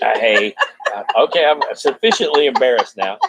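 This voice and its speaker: A man talks in a dry, close sound with no echo. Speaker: former radio DJ.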